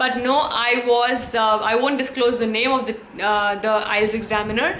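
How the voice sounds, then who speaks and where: A woman speaks in a high voice at a moderate pace with fairly even intonation. Noticeable background noise and audible room echo surround her. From India. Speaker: English teacher and YouTuber. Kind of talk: tutorial. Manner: halting, many fillers.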